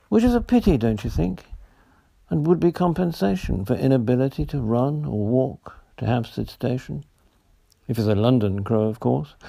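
A voice with a British accent and a dark, mellow tone. It speaks at a moderate pace with lively intonation. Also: man, medium pitch for a man. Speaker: poet reading own work. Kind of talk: poet reading own humorous verse aloud. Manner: playful, lightly comic, rhythmic sing-song delivery.

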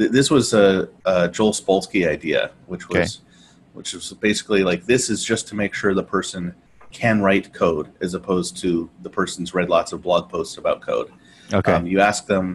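Here is a man with a plain, everyday voice, fairly low in pitch and fairly even in intonation. He keeps a moderate pace over light background noise. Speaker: podcast co-host. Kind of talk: casual conversation. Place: home room. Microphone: earbuds.

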